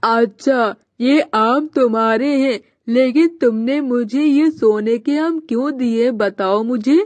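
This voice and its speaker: Using a cartoonish character voice, a female-sounding speaker talks at a high pitch and a very slow pace. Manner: sly, calculating.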